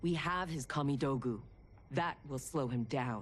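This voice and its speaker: Putting on a character voice, a woman speaks at a moderate pace with a very deep, low pitch over clear background noise. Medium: video game.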